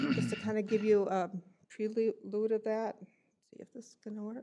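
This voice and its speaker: A woman speaks at a fairly high pitch. Her pace is fairly quick. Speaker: county staff presenter. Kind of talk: presentation to county board. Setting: county board meeting room.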